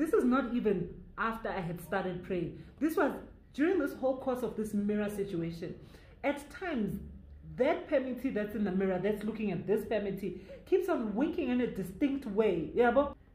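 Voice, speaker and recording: A woman with a fairly high pitch speaks in a Zulu accent at a moderate pace, her intonation lively. Noticeable background noise and audible room echo fill the recording. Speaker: YouTuber storyteller. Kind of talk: storytime narration. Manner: code-switching English and Zulu.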